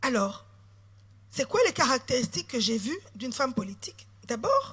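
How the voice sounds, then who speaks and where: A woman's raised, projected voice, high-pitched with a bright, sharp tone, at a fairly slow pace. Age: 40s. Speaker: politician. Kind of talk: sermon.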